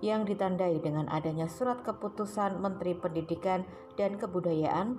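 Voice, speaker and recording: Music can be heard in the background. Over it, a woman talks at a moderate speed. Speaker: news narrator. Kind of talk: news report voice-over.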